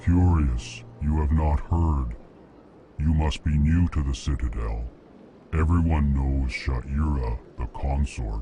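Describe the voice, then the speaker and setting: A put-on character voice from a man, fairly slow and very deep, low in pitch. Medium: machinima. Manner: formal, stilted.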